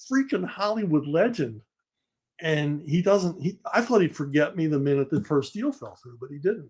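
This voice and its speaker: With a Philadelphia accent, a man talks at a fairly high pitch with lively intonation. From Philadelphia, US. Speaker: comic writer and novelist. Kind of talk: interview, storytelling.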